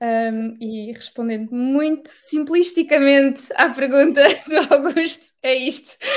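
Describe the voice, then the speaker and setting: In a European Portuguese accent, a woman with a high voice talks at a very slow pace with hardly any pauses, ordinary pitch variation and big swings in loudness. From Portugal. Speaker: digital marketing manager. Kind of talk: interview.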